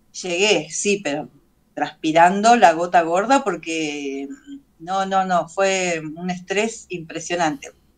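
A woman talks in a Rioplatense accent with ordinary pitch variation. The background is quiet. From Buenos Aires, Argentina; Argentina. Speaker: doll maker and craft teacher; craft teacher. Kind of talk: casual interview chat. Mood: relaxed, animated storytelling. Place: home room. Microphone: video call.

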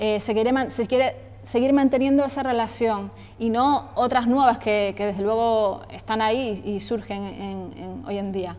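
At a fairly slow pace, a woman speaks in a fairly high pitch with fairly even intonation. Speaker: event moderator. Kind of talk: event introduction. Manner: halting, filler-heavy. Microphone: lapel.

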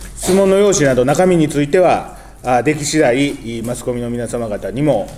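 The speaker is a man at a moderate pace. Light background noise can be heard. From Japan, Osaka. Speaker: politician. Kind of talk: press conference. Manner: formal. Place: meeting room. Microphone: podium.

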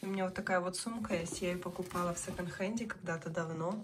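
A woman speaks quietly at a fairly quick pace, her pitch fairly low and her intonation fairly even. Noticeable background noise sits behind her. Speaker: family vlogger. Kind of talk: casual vlog talk. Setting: hospital room. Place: home room. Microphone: phone near.

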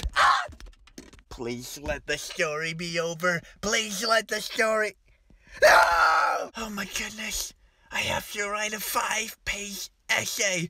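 At a fairly slow pace, the speaker uses a put-on character voice pitched fairly high. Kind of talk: comedic story reading. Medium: comedy sketch. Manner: panicked, exaggerated.

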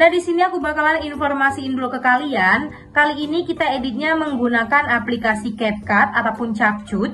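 A woman with a high pitch and ordinary pitch variation at a fairly quick pace, with clear music in the background. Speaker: video editing tutorial creator. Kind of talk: tutorial. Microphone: phone near.

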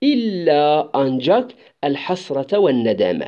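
A man speaks at a very slow pace in a fairly high pitch. His voice swings very widely in pitch. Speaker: Arabic language teacher. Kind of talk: lecture. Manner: halting, many hesitations.

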